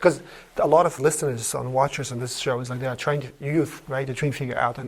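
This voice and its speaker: A man at a medium pitch, very fast pace, fairly even intonation and big swings in loudness. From Uzbekistan. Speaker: podcast host. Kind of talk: interview.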